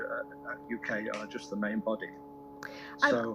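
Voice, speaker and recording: Music behind a male speaker, his pace moderate. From Warrington, England. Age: 70s. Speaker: cancer survivor and charity fundraiser, amateur songwriter. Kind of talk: radio interview answer.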